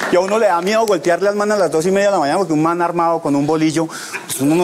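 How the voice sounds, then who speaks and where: A man's very fast, fairly evenly intoned speech at a high pitch, over light background noise. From Bogotá, Colombia. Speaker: comedian; stand-up comedian. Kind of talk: stand-up; comedy monologue. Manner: repeats words, halting starts. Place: studio. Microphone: lapel.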